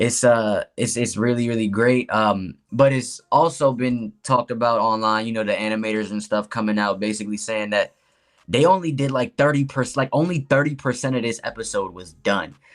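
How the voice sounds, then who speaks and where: On a very clean recording with a silent background, a man talks at a fairly quick pace and medium pitch, using an ordinary speaking voice with ordinary pitch variation. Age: 30s. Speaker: podcast guest, anime fan. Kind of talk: casual chat.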